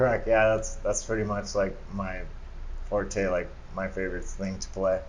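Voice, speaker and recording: There is audible room echo around the speaker. A man talks at a moderate pace. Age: 30s. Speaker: screen printer and entrepreneur. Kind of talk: casual interview chat.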